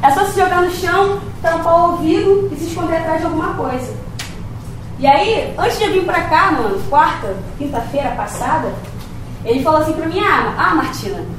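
A woman with an extremely high pitch speaks in an animated tone with lively intonation, leaving long, frequent pauses over noticeable background noise. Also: moderate pace. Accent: Carioca. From Rio de Janeiro. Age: 20s. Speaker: poet and rapper. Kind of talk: talk to university class. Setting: auditorium with audience and microphone.

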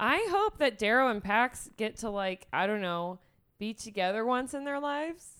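A woman with a normal speaking voice talks at a moderate pace and fairly high pitch, her intonation lively. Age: 30s. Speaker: podcast co-host. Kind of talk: casual chat.

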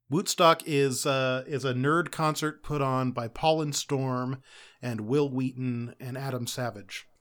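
A man with an unremarkable speaking voice talks at a medium pitch on a very clean recording with a silent background. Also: fairly even intonation. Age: 30s. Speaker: podcast guest. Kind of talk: casual chat.

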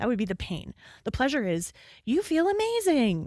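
A woman with a plain, everyday voice speaks at a moderate pace with lively intonation, on a very clean recording with a silent background and a dry, close sound with no echo. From Canada; Calgary, Alberta. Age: 50s. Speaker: business consultant and occupational therapist. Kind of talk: casual interview conversation.

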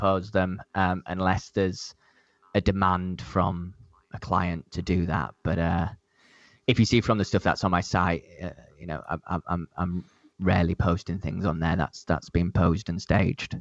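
Against a quiet background, a man with a Leeds accent and a very deep, low pitch speaks in a dry, close sound with no echo. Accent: Yorkshire (Leeds) English. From northern England, Leeds. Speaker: event photographer. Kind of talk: casual interview chat. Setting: remote call across time zones.

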